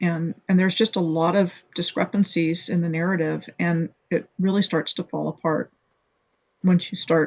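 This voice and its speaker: Long, frequent pauses break up a woman's speech. Her pitch is fairly low and her intonation monotone and flat. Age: 60s. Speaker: blogger and video maker on hidden history. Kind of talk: interview. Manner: halting, many fillers and restarts.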